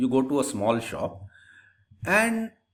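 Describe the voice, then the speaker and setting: A man speaks at a fairly slow pace with vocal fry and very wide pitch swings. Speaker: lecturer. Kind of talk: lecture. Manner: slow, deliberate; repetitive, stumbling restarts.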